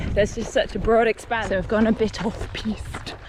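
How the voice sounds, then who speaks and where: At a moderate pace, a woman talks in a fairly high voice with noticeable background noise behind her. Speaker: singer-songwriter and amateur runner vlogging. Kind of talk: vlog narration while running. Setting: outdoors.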